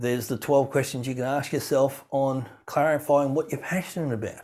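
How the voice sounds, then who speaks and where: Speaking with an Australian accent at a moderate pace, a man has a medium pitch and ordinary pitch variation on a very clean recording with a silent background. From rural farm upbringing. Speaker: keynote speaker. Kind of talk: podcast interview.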